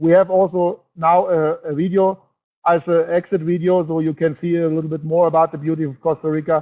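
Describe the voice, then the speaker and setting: In a German accent, a man talks at a fairly quick pace with a high-pitched voice. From Germany. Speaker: network marketing presenter. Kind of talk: webinar presentation. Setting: online webinar broadcast. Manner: animated.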